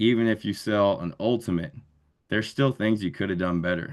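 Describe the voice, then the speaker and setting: A man talks at a fairly quick pace with ordinary pitch variation. The background is quiet. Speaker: sales rep giving a talk. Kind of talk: motivational talk to sales team. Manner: energetic.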